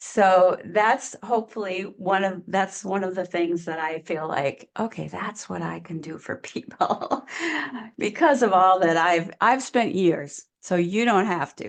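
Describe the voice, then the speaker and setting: Here is a plain, everyday voice. A woman speaks fairly slowly at a medium pitch, with ordinary pitch variation. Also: big swings in loudness. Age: 60s. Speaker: online business coach. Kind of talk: interview conversation. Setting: podcast interview.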